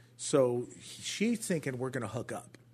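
Against a quiet background, a man with a Southern California accent speaks at a moderate pace in a somewhat breathy, medium-pitched voice with very wide pitch swings. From Orange County, California. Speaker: pastor. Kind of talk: testimony. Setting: studio.

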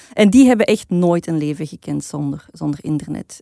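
A woman speaks in a fairly low pitch with a dark, mellow tone. The sound is dry and close, with no echo. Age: 40s. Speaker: podcast co-host. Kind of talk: casual chat.

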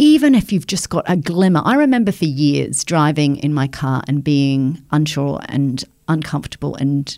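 A woman with a very deep, low pitch speaks in a dark, mellow tone. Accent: New Zealand. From New Zealand, provincial town. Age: 50s. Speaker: journalist. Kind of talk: interview conversation.

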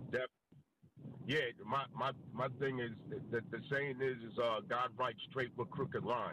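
An American accent marks this man's speech, which stays at a moderate pace and medium pitch with fairly even intonation, very even loudness, and long, frequent pauses. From Queens, New York. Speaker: caller. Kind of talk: call-in, religious question.

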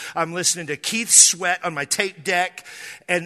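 A man's high-pitched, bright and sharp voice, animated in tone, at a moderate pace against a quiet background. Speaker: pastor. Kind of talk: sermon, preacher in full flow. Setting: church with live congregation. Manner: humorous, teasing the congregation.

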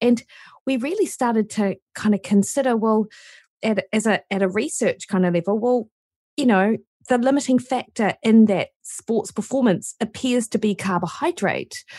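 A woman with a New Zealand accent speaks at a fairly high pitch and moderate pace, somewhat breathy, with a dark, mellow tone, ordinary pitch variation and very even loudness. The recording is very clean with a silent background and a dry, close sound with no echo. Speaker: nutritionist and university lecturer. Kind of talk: casual interview chat.

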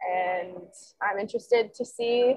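Speaking slowly-ish at a fairly slow pace, a woman with an unremarkable speaking voice and an American accent uses a fairly high pitch and ordinary pitch variation. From Nebraska. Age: 20s. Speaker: sports columnist. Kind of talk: casual interview chat.

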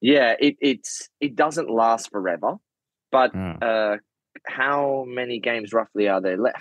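At a fairly slow pace, a man with a medium pitch speaks with ordinary pitch variation in a dry, close sound with no echo. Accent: Australian. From Australia, Sydney. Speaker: professional footballer. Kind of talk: casual chat.

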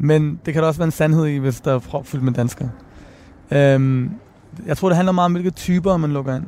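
A man with a plain, everyday voice talks at a fairly quick pace, his fairly high pitch showing ordinary variation. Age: 30s. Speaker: rapper and author. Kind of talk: interview. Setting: outdoors on a bench.

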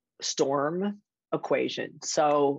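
A woman with a strong Chicago accent and a very deep, low pitch, in a dry, close sound with no echo. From Chicago area (Skokie, Illinois). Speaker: magazine publisher and editor. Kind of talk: casual interview.

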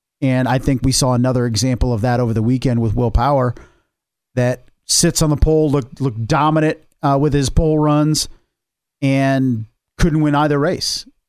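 Moving at a moderate pace with fairly even intonation, a normal speaking voice comes through a very clean recording with a silent background. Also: man, medium pitch for a man. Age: 40s. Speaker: motorsport podcast co-host. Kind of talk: casual chat.

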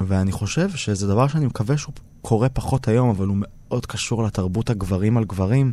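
Here is a man with a fairly low pitch and a dark, mellow tone. His pitch varies an ordinary amount. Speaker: theatre director and TV presenter. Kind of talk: interview. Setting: studio.

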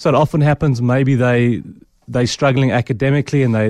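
Against a quiet background, a man with an ordinary speaking voice talks at a medium pitch. The pace is fairly quick, and the sound is dry and close with no echo. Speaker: clinical psychologist. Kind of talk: radio interview. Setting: studio.

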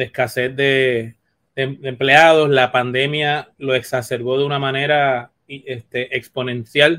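The man speaks at a very slow pace. His intonation stays monotone and flat. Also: medium pitch for a man. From Puerto Rico. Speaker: veterinarian. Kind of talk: interview.

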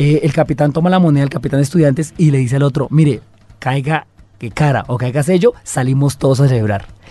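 A man's fairly high, somewhat breathy voice at a very fast pace, with ordinary pitch variation. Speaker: podcast co-host. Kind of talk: casual chat.

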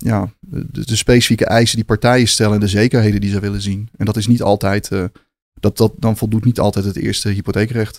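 Speaking at a fairly quick pace, a man with a fairly low pitch keeps his intonation fairly even in a dry, close recording with no echo. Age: 40s. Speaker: co-founder of a corporate finance firm. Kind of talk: interview. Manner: hesitant, many filler sounds.

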